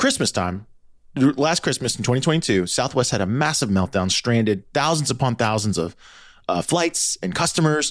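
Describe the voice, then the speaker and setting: Vocal fry comes through in a very clean recording with a silent background. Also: man. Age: 40s. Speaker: podcast host. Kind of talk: casual chat.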